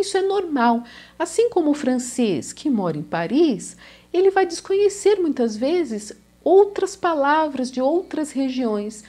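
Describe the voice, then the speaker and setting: Speaking in a São Paulo accent, a woman with a high pitch and a dark, mellow tone moves through very wide pitch swings. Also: fairly slow pace. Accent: São Paulo Brazilian Portuguese. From Brazil, São Paulo. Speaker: language teacher. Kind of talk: video lesson.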